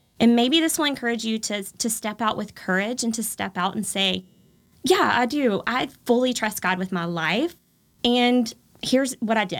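In an American accent, an unremarkable speaking voice moves at a moderate pace with lively intonation, on a very clean recording with a silent background. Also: woman, fairly high pitch for a woman. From Texas, Texas-Louisiana border. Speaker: home decor influencer. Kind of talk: casual interview.

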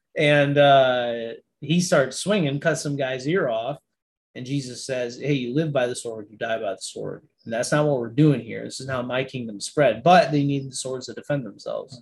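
This man has a medium pitch and ordinary pitch variation, with an American accent. He talks at a moderate pace and sounds somewhat breathy. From Niagara Falls, New York. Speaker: army veteran and minister. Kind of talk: casual chat.

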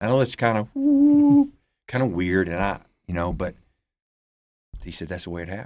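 On a very clean recording with a silent background, a man speaks with an Alabama accent at a moderate pace. He leaves long, frequent pauses, and his loudness swings widely. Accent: Southern US (Alabama). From US South, Alabama (Huntsville). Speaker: pastor and ministry founder. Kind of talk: testimony.

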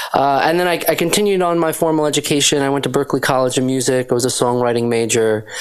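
A man speaks very fast at a fairly high pitch, with hardly any pauses. His loudness stays very even over noticeable background noise. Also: ordinary pitch variation. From Western Massachusetts, US. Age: 30s. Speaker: singer-songwriter and producer. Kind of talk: interview.

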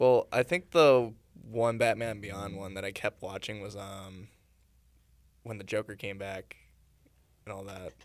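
A man's fairly low voice at a fairly slow pace, with fairly even intonation, big swings in loudness and long, frequent pauses, on a very clean recording with a silent background. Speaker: podcast host. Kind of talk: casual chat.

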